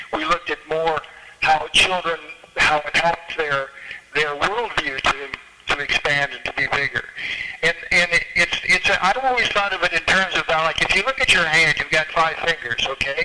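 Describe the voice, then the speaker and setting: A man's high voice at a moderate pace, with ordinary pitch variation and noticeable background noise. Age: 70s. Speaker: arts educator and musician. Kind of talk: panel talk at a political club meeting. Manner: halting, repeats words.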